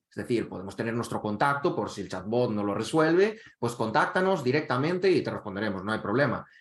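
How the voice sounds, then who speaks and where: At a fairly quick pace, a man talks at medium pitch. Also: hardly any pauses. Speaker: e-learning director presenting a teacher webinar. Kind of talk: webinar presentation. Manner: fast.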